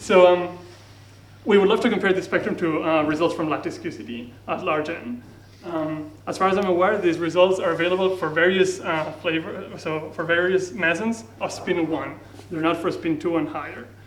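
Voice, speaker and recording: High-pitched for a man, his voice shows ordinary pitch variation, with audible room echo around it. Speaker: physicist. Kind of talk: lecture. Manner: fast.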